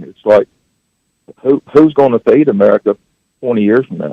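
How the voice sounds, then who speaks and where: A man with a West Tennessee accent talks at a fairly quick pace. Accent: Southern US (West Tennessee). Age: 60s. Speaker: farmer. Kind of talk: casual chat. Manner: halting.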